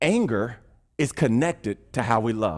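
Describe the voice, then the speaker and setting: A man talks with vocal fry. The recording is very clean, with a silent background. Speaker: pastor. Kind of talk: sermon. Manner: fast.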